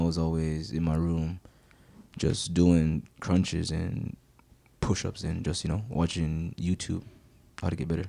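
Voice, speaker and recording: A man speaks in a very deep, low pitch with a dark, mellow tone. His intonation stays flat and monotone. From Jamaica. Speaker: professional soccer player. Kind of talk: casual chat. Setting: studio.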